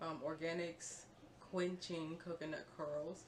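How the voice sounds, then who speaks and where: A woman speaks quietly in a fairly low voice with monotone, flat intonation, and audible room echo surrounds her. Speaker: beauty vlogger. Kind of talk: tutorial. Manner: casual, filler-heavy; quiet, low volume.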